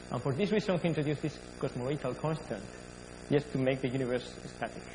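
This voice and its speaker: A man at medium pitch, talking very fast over noticeable background noise. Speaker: astrophysicist. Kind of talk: lecture.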